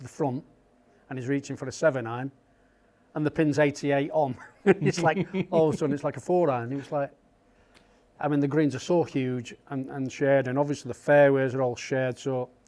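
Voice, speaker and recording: With a Yorkshire accent, a man talks at a fairly quick pace in a dark, mellow tone, his fairly high pitch held to fairly even intonation. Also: long, frequent pauses. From Yorkshire, England. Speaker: golf caddie. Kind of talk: interview answer.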